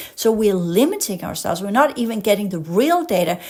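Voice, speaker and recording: In a Danish accent, a woman speaks at a fairly high pitch with lively intonation. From Denmark. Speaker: podcast host and spiritual educator. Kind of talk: casual monologue; reading aloud with commentary. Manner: animated; occasionally halting over complex words.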